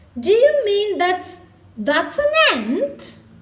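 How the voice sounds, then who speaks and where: A woman puts on a character voice at an extremely high pitch. The pitch swings very widely. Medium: read story.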